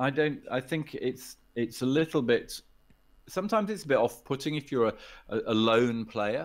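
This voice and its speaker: At a moderate pace and medium pitch, a man with an English accent talks with ordinary pitch variation. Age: 60s. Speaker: poker player and poker executive. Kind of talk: podcast interview. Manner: hesitant, many repetitions.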